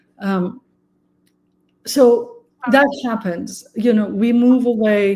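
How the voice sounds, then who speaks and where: Speaking with a Persian accent, a woman with a fairly high pitch keeps a fairly even intonation at a very slow pace, with long, frequent pauses. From Iran. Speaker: architecture researcher. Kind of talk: interview.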